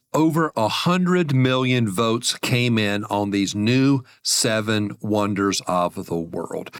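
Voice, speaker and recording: In a dry, close recording with no echo, a man with an American accent and a normal speaking voice talks at a medium pitch with lively intonation. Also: very clean recording, silent background. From US, small town. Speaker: podcast host on money and faith. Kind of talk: solo podcast monologue. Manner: friendly, conversational.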